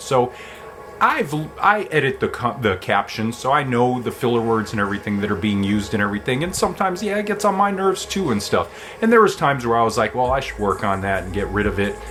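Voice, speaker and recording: With music in the background, a man talks at a fairly quick pace and swings his pitch very widely. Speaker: vlogger. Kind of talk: casual talk to camera. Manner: uses many filler words.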